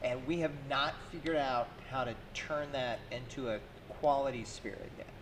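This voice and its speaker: A man's fairly high voice at a moderate pace, with fairly even intonation, audible room echo and noticeable background noise. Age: 30s. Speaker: distillery co-owner. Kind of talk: casual chat.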